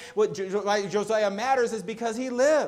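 Noticeable background noise sits behind a man speaking at a fairly slow pace. His voice is high, with ordinary pitch variation. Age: 30s. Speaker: pastor. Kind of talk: sermon. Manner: halting, frequent repeated words.

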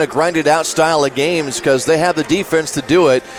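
Amid noticeable background noise, a man with a fairly high pitch talks at a fairly quick pace with fairly even intonation. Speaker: radio color commentator. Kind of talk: sports analysis, color commentary. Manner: conversational, measured analysis.

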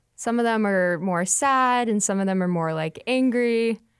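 Fairly high in pitch, a woman speaks at a moderate pace with a plain, everyday voice and ordinary pitch variation. The recording is very clean against a silent background. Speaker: student musician. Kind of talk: casual interview. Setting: studio.

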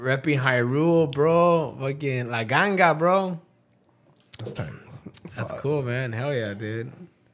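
A medium-pitched man at a fairly slow pace, with ordinary pitch variation, long and frequent pauses, big swings in loudness and audible room echo. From US, Mexican-American family. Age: 30s. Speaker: comedian and podcaster. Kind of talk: casual chat.

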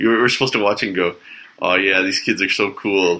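A man speaks in a Canadian accent at a moderate pace, his pitch fairly low. His tone is bright and sharp, and his intonation stays fairly even. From Canada. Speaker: podcast host. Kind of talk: casual chat. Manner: halting.

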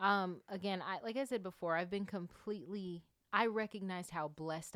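Here a woman talks with an American accent and ordinary pitch variation. The recording is very clean, with a silent background. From US South, Atlanta suburbs, Georgia. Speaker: podcast host and performer. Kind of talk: casual chat.

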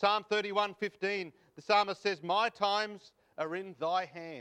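At a very slow pace and with fairly even intonation, someone speaks in an Australian accent over a quiet background. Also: man. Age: 50s. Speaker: preacher. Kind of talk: sermon. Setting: church.

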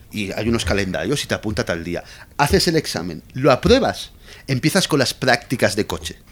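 A man speaks at a fairly quick pace with a medium pitch. His pitch swings very widely. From Spain, Valencia. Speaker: Spanish expat guest. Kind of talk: casual chat.

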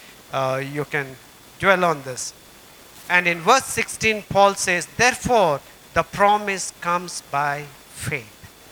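Amid noticeable background noise, a high-pitched man speaks with lively intonation at a fairly slow pace, leaving long, frequent pauses. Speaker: pastor. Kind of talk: sermon.

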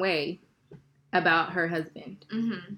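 The woman's voice sits at medium pitch with ordinary pitch variation. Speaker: podcast co-host. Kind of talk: casual chat. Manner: loud when passionate.

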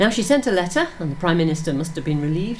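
Very wide pitch swings mark this woman's very fast speech over noticeable background noise. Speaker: radio presenter. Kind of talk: casual radio chat. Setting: studio.

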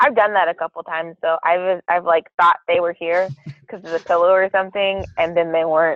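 A woman with an unremarkable speaking voice, fairly low in pitch, at a fairly quick pace and with fairly even intonation. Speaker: guest, host's sister, college student. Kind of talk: casual chat.

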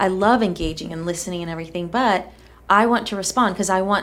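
A woman uses a normal speaking voice, pitched in the medium range, and her pitch varies in an ordinary way. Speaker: podcast co-host. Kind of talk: casual conversational podcast.

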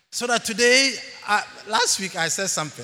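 His pitch swings very widely as the man talks at a moderate pace. Room echo is audible. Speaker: church elder preaching. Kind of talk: sermon. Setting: church. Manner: animated.

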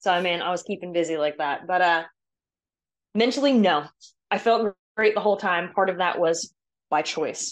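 The speaker has an American accent and ordinary pitch variation, moving at a moderate pace. Long, frequent pauses break up the speech over a quiet background. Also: woman, fairly low pitch for a woman. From US Southeast (Georgia). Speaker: obstacle course racer. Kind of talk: casual chat. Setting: audio call.

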